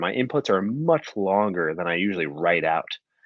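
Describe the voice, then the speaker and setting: A man mumbles at a moderate pace in a fairly low pitch. His intonation is lively. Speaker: podcast co-host. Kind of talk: casual chat. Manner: mumbling; halting.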